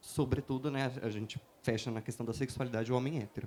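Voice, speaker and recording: A man with a dark, mellow tone. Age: 30s. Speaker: writer. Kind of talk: panel talk. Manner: halting with fillers.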